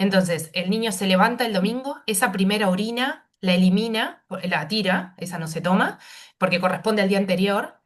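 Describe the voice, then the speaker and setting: A woman's somewhat breathy voice sits at a medium pitch and shows ordinary pitch variation. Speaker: pediatric nephrologist. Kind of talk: medical panel discussion. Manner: fast.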